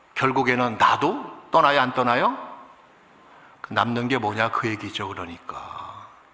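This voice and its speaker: A man at medium pitch speaking at a fairly slow pace, with audible room echo and noticeable background noise. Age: 60s. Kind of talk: sermon. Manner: animated.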